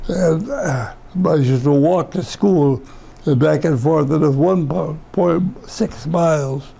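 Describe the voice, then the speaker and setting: A man with an American accent talks at a very slow pace, with ordinary pitch variation and very even loudness. Noticeable background noise runs under his voice. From western New York (Rush area). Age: 90s. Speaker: World War II veteran. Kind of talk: oral history interview. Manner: halting, with repetitions and false starts.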